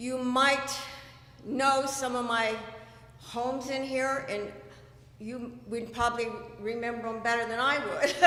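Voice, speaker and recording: A woman with a high pitch and an American accent talks at a very slow pace in a monotone, flat way, with audible room echo and noticeable background noise. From California. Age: 60s. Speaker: election candidate. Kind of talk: candidate speech at town hall. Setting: community meeting.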